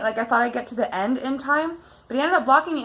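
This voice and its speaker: A woman speaks in a high pitch with a bright, sharp tone and ordinary pitch variation. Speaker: YouTuber, dog owner. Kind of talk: casual chat. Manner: loud when heated.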